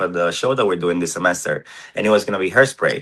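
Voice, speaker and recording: Over a quiet background, a man with a Spanish accent speaks at a very deep, low pitch. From Cuba, small town. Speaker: drag king performer. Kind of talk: podcast interview. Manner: hesitant with fillers.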